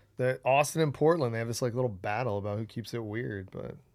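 This man has a plain, everyday voice of medium pitch, with ordinary pitch variation. He talks at a fairly quick pace in a very clean recording with a silent background. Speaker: pickleball player and podcast guest. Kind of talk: casual banter. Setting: studio.

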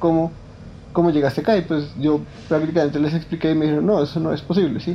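Talking at a very fast pace, this man has a fairly high pitch and fairly even intonation. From Colombia, Bogotá savanna. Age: 20s. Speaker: philosopher telling personal story. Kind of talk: personal testimony. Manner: hesitant, many fillers.

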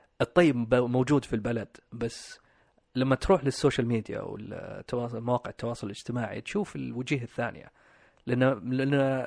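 This is an ordinary speaking voice, a man's, pitched at a medium level. His pace is moderate and his pitch varies in an ordinary way. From Saudi Arabia (Riyadh), Pakistani parents. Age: 30s. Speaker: guest sharing life story. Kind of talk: personal interview. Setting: studio.

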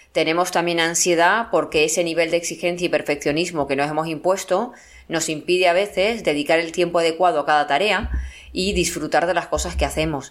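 A plain, everyday voice moves at a fairly quick pace. Its loudness stays very even and its intonation fairly even. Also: woman, fairly low pitch for a woman. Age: 50s. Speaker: psychologist and writer. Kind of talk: interview.

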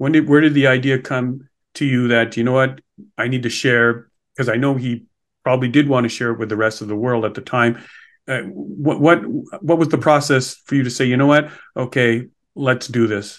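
Against a quiet background, a man talks at a moderate pace in a medium-pitched voice with fairly even intonation. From Montreal. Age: 60s. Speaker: podcast host, financial advisor. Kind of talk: interview.

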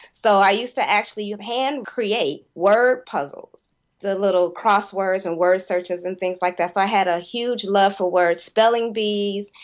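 A woman with an unremarkable speaking voice and a medium pitch talks at a fairly slow pace with fairly even intonation. She leaves hardly any pauses, and the background is quiet. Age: 40s. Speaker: poet and corporate writer. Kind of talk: casual interview chat.

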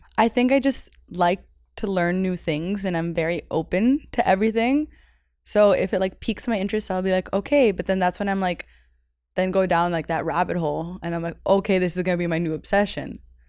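A woman with an American accent talks at a fairly quick pace in a medium pitch with ordinary pitch variation. She has a normal speaking voice, and the recording is very clean with a silent background. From Miami, Florida (US South). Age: 20s. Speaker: personal assistant. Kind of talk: casual chat.

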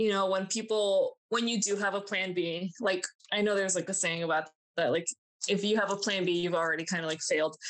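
Fairly quick and with fairly even intonation, a woman with an American accent speaks at a medium pitch in an ordinary speaking voice. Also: very even loudness. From Miami, Florida and New Jersey, US. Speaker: zookeeper. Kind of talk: interview. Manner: casual.

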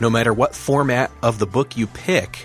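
A man speaks with an American accent. Music can be heard behind him. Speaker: podcast host.

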